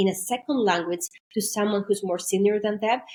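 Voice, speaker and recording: A woman with a Greek accent talks at a fairly quick pace. Her pitch is medium and her intonation fairly even. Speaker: maritime intercultural trainer. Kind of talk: podcast interview.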